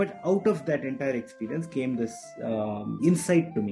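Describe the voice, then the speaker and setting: A man's voice over faint music in the background. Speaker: podcast guest. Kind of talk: interview answer. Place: home room. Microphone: video call.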